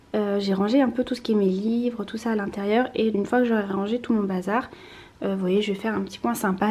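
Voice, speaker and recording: This woman is soft-spoken and somewhat breathy, with a dark, mellow tone. Her pitch varies in an ordinary way. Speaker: lifestyle vlogger. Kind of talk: casual vlog. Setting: at home, apartment tour. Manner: hesitant, many fillers.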